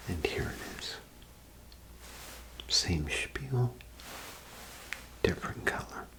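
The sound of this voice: A man whispering at a slow pace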